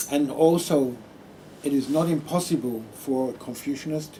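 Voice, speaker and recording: Speaking at a very slow pace, a man with an Australian accent keeps his intonation fairly even. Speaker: Buddhist monk. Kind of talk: public talk.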